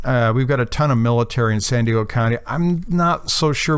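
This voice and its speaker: At a fairly quick pace, a man speaks at a medium pitch with ordinary pitch variation amid noticeable background noise. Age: 60s. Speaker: amateur radio hiker. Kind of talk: video recap of hike and radio activation. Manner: casual, with frequent fillers.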